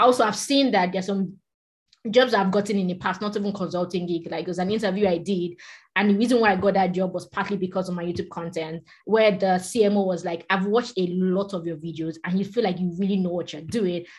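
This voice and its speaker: Speaking at a very fast pace, a woman sounds somewhat breathy with fairly even intonation. The background is quiet. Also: medium pitch for a woman. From Nigeria. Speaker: growth marketer and YouTuber. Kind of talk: interview.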